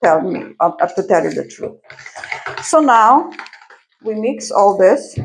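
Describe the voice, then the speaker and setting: A woman with a non-native accent speaks at a very slow pace, leaving long, frequent pauses. Her fairly high pitch moves in very wide swings. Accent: non-native, admits pronunciation issues. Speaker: home cooking channel host. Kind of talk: cooking tutorial. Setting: home kitchen. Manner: slow, halting, many fillers.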